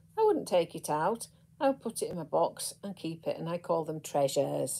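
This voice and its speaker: The woman speaks with vocal fry. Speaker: crochet teacher. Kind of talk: casual tutorial chat. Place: home room. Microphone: phone near.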